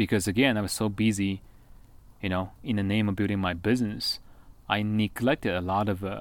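On a very clean recording with a silent background, a man speaks with a Chinese accent. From China. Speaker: former network marketing entrepreneur. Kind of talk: casual chat.

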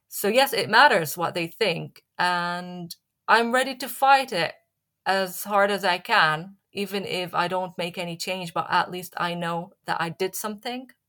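In a very clean recording with a silent background, a woman with an Arabic accent speaks at a fairly slow pace and medium pitch, her tone bright and sharp and her pitch variation ordinary. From Syria. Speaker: journalist and playwright. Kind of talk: interview. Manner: halting, many fillers.

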